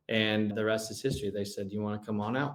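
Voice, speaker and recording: At a fairly quick pace, a man talks with a medium-pitched voice. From Southern California. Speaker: former college quarterback. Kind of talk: podcast interview. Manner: animated storytelling.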